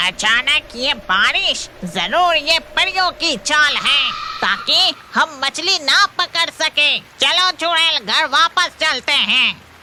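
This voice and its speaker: A cartoonish character voice sounds female and high-pitched, speaking at a very slow pace with hardly any pauses. Background noise is clear. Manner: quarrelsome, defiant.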